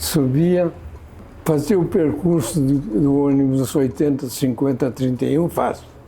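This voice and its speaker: In an ordinary speaking voice, a man speaks at a fairly slow pace in a fairly high pitch, with ordinary pitch variation and very even loudness. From Portugal, raised in São Paulo state from age 9. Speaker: longtime local resident. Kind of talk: interview testimony.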